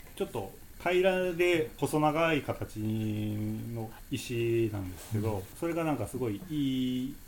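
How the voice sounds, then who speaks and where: A man talks at a very slow pace with lively intonation. His pitch sits in the medium range. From Japan, Nagoya. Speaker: stairs and slopes enthusiast. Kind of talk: casual chat.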